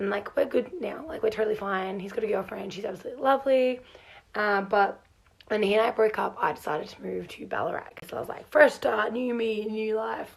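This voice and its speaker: Delivered at a fairly quick pace in an Australian accent, the speech has ordinary pitch variation and big swings in loudness. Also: woman. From Australia, Melbourne. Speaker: farm hand. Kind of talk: casual vlog storytelling. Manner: animated.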